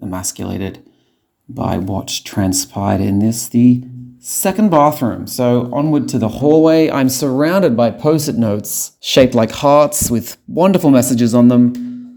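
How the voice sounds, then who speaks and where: In an Australian accent, a man speaks at a fairly slow pace. His dark, mellow tone carries lively intonation. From Sydney, Australia. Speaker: podcast host. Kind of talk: comedic audio diary tour. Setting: walking around home apartment.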